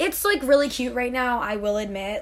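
A woman talks at a fairly quick pace with ordinary pitch variation. Her somewhat breathy voice comes with audible room echo. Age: 20s. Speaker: podcast co-host, college student. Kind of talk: casual chat. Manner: hesitant, many fillers.

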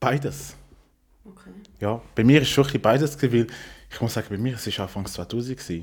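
A man at a very fast pace, somewhat breathy, with lively intonation, big swings in loudness and long, frequent pauses. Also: medium pitch for a man. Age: 30s. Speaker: podcast guest. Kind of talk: casual chat.

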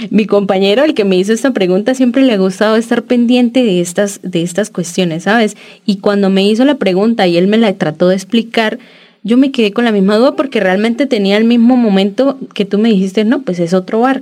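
At a fairly quick pace, a woman speaks with a dark, mellow tone at a fairly high pitch that varies in an ordinary way. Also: very even loudness. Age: 30s. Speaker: podcast co-host, architecture student. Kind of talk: casual chat.

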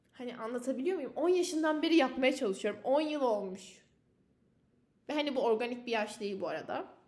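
A woman's high-pitched voice at a fairly quick pace, with audible room echo. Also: lively intonation. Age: 20s. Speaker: university student podcaster. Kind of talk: solo personal podcast monologue.

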